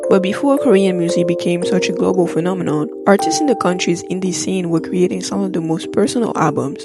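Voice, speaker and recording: Background music plays throughout. Over it, a woman talks at a fairly quick pace. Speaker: music video essayist. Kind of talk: video essay narration.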